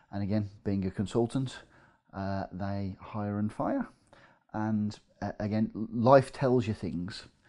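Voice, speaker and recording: A man with an English Midlands accent speaks at a very slow pace, his pitch fairly low and his tone dark and mellow. His intonation stays fairly even over a quiet background. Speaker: property investor. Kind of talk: casual interview.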